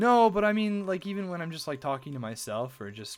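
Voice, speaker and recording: An American man talks at a fairly quick pace with very wide pitch swings, music playing in the background. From USA. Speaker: video game streamer. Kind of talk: live stream chat. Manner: quiet.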